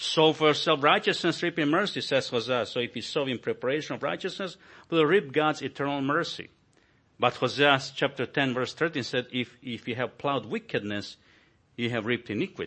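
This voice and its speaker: The speaker has a Croatian accent and ordinary pitch variation. The pace is fairly quick. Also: man, fairly high pitch for a man. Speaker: visiting pastor. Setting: church.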